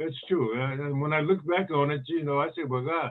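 A man's normal speaking voice with an American accent, fairly high in pitch, at a moderate pace. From Northern California (East Palo Alto). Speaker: retired basketball player and author. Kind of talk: casual interview.

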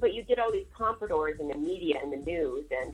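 Her pitch is fairly high, with very wide swings and vocal fry. The woman keeps a moderate pace. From St. Louis, US Midwest. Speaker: guest, activist and artist. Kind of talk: casual interview chat. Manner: careful, articulate.

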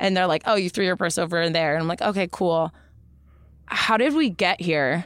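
At a fairly quick pace, a woman speaks with a fairly low pitch on a very clean recording with a silent background. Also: ordinary pitch variation. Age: 30s. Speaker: stripper and hula hoop performer. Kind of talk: casual chat.

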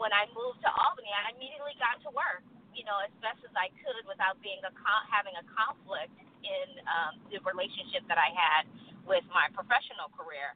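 A woman talks at a fairly quick pace in an ordinary speaking voice with medium pitch. Her intonation is lively, and her loudness swings widely. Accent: American. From Texas. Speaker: city mayor. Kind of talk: radio interview. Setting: studio.

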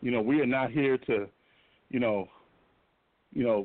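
A man is speaking here. His voice sits at a medium pitch. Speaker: football coach. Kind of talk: interview. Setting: phone call.

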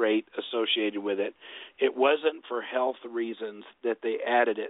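In a plain, everyday voice, a man talks at a fairly slow pace and medium pitch with fairly even intonation. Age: 50s. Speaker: documentary filmmaker. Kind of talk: interview.

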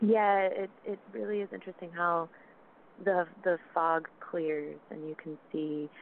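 Speaking in a normal speaking voice with an American accent, a woman goes at a fairly slow pace and fairly low pitch, with ordinary pitch variation and big swings in loudness. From South Carolina. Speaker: web series creator and actress. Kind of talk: casual interview chat.

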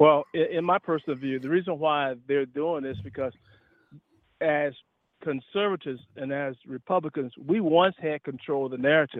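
At a moderate pace, a man with a fairly high pitch speaks with a Southern US accent. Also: ordinary pitch variation. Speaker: retired officer and public speaker. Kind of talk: casual chat. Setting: phone call.

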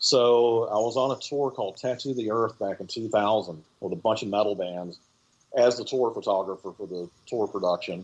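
A man talks in a plain, everyday voice at medium pitch with ordinary pitch variation. He keeps a moderate pace against a quiet background. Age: 50s. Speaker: film director and music photographer. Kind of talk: interview. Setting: remote call.

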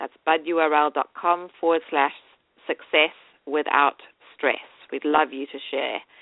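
A woman speaks in a very deep, low voice, flat and monotone, at a very slow pace. Her loudness swings widely, and long pauses come often. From South Africa. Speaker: radio host and business coach. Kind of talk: radio interview. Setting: radio show, remote call.

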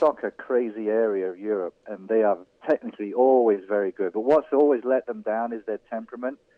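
This man talks with an English accent at a fairly quick pace. His pitch is medium, with ordinary variation. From England, Irish family. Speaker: college soccer coach. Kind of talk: phone-in sports interview.

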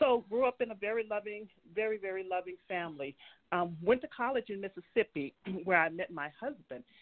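A woman's unremarkable speaking voice, medium in pitch, at a fairly quick pace. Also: lively intonation. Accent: American. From US South, New Orleans, Louisiana. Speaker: state legislator. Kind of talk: casual conversational interview.

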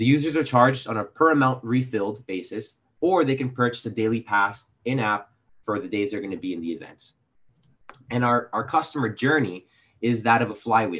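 A man's plain, everyday voice with an American accent and ordinary pitch variation. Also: medium pitch for a man, fairly quick pace. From Miami, Florida. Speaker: graduate student. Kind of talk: product pitch. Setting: video call.

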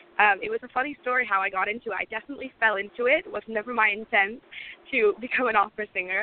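A woman speaks very fast at a fairly high pitch, with ordinary pitch variation. Noticeable background noise runs underneath. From UK, moved from Lebanon at 8. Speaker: singer-songwriter. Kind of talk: casual interview.

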